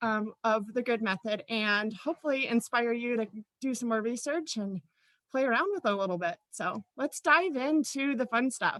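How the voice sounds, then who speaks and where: A woman speaks with a fairly high pitch and lively intonation. The sound is dry and close, with no echo. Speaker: teacher presenting a workshop. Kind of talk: workshop presentation. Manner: fast.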